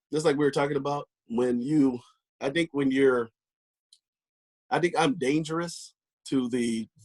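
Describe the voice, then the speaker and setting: The speaker talks at a fairly slow pace with fairly even intonation and long, frequent pauses, in a dry, close sound with no echo. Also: man, fairly high pitch for a man. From Orange County, California (born in Mississippi). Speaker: comedian and actor, former Air Force security. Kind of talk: casual chat.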